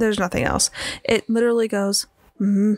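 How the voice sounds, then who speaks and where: A woman's voice sounds dry and close with no echo, though noticeable background noise is present. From Michigan, Traverse City. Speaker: podcast host. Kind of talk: casual chat.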